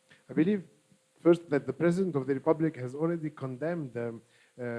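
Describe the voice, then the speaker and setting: A man with an Arabic accent speaks in a dark, mellow tone, his pitch rising and falling in an ordinary way. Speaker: political party official. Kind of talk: panel discussion. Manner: hesitant, many fillers.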